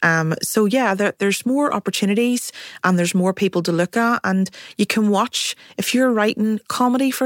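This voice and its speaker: A woman with a Belfast accent talks at a fairly quick pace. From Northern Ireland, North Belfast. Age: 40s. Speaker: writer and producer. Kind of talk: panel discussion. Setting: studio.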